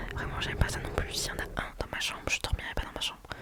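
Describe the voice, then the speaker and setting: A woman whispers over noticeable background noise. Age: 20s. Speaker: ASMR creator. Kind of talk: ASMR Q&A, close-mic whispering and casual chat. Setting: close microphone, home recording. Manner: soft-spoken, whispery, friendly.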